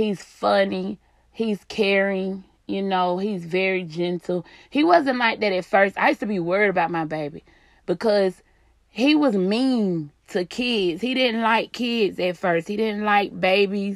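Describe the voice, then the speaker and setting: A woman at a medium pitch, animated in tone with ordinary pitch variation, in a very clean recording with a silent background. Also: fairly slow pace. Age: 30s. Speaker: podcaster. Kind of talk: casual chat, solo podcast monologue. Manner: animated, casual, unedited.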